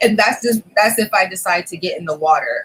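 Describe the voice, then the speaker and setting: A woman with an American accent talks in a relaxed tone at a moderate pace. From Massachusetts and Florida, USA. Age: 30s. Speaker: beauty vlogger. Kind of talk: casual talk to camera. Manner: chatty, relaxed.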